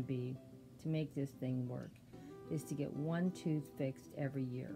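Music plays in the background while a woman talks at a moderate pace in a very deep, low pitch. Her intonation is lively. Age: 70s. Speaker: savings vlogger. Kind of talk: casual talk to camera.

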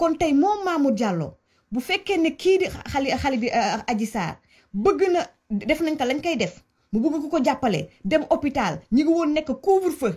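Loud and animated, a woman with a Senegalese accent speaks high-pitched at a fairly slow pace, with very wide pitch swings and long, frequent pauses against a quiet background. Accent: Senegalese French with Wolof. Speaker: commentator on Senegalese politics. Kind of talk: angry rant. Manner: loud, heated. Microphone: phone near.

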